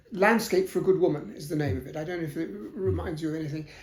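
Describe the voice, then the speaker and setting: Amid audible room echo, a man with a fairly high voice speaks in a southern English accent. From South London, England. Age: 70s. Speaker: historian. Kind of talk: interview. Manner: hesitant, many fillers.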